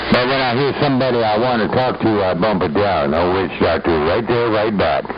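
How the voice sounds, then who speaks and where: Amid audible room echo and noticeable background noise, a man speaks at a fairly quick pace in a fairly low voice, with lively intonation and very even loudness. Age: 70s. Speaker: CB radio operator. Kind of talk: CB radio chat. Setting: CB radio transmission.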